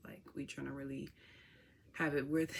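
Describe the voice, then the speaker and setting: A woman with a Chicago accent. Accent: Chicago city. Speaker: vlogger. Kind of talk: casual vlog talk to camera. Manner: animated.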